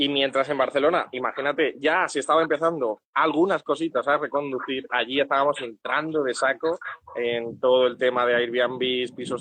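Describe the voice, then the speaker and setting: A man's unremarkable speaking voice at medium pitch, moderate pace, fairly even intonation and hardly any pauses. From Andalusia, Spain (Úbeda, Jaén). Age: 20s. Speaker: tenant on rent strike. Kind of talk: interview.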